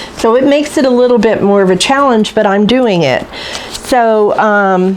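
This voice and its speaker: With audible room echo and noticeable background noise, a woman speaks with ordinary pitch variation. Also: fairly high pitch for a woman, moderate pace, very even loudness. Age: 60s. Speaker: cooking channel host. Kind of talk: casual vlog talk to camera. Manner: halting, with many fillers.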